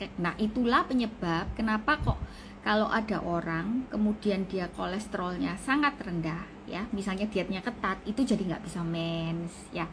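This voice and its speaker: A woman speaks at a medium pitch. Noticeable noise sits in the background. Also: ordinary pitch variation, moderate pace. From Indonesia, Surabaya (East Java). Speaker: doctor. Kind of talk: live-stream health talk. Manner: casual, conversational.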